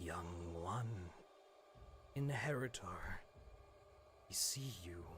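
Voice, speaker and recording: A man in a put-on character voice speaks at a very slow pace with a very deep, low pitch, taking long, frequent pauses over clear background noise. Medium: actual play. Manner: solemn, otherworldly.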